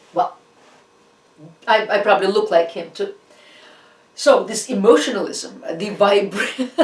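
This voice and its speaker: With a Russian accent, a woman speaks at a moderate pace and medium pitch, with ordinary pitch variation, big swings in loudness, and long, frequent pauses. Noticeable background noise runs beneath her. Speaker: art history lecturer. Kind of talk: lecture. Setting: online class. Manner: halting; animated.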